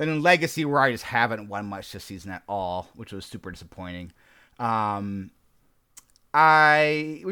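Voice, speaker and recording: In a very clean recording with a silent background, a man with a bright, sharp tone and fairly high pitch shows very wide pitch swings and big swings in loudness. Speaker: podcast co-host. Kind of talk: casual chat.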